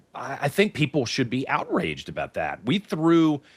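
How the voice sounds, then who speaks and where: A man speaks in an American accent. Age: 50s. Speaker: talk show host. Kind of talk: radio interview. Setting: live broadcast.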